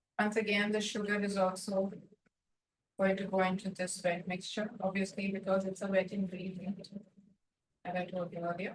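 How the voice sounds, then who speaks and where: A soft-spoken woman at medium pitch, somewhat breathy, with monotone, flat intonation, a moderate pace and long, frequent pauses. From India, Mumbai. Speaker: baking instructor. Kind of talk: tutorial.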